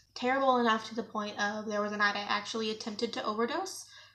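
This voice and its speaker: A woman at a fairly high pitch and fairly quick pace, with noticeable background noise. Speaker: YouTuber. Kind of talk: storytime vlog. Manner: animated.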